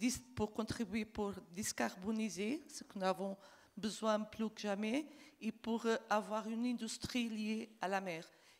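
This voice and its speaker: A woman with a Portuguese accent speaks at a very slow pace. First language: Portuguese (speaking French). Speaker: diplomat. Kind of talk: panel discussion. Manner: halting.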